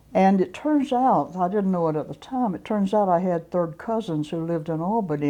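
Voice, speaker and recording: A woman's fairly low, dark, mellow voice with lively intonation, at a moderate pace with hardly any pauses, against a quiet background. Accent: Southern US. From US South, South Georgia. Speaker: civil rights activist. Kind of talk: interview.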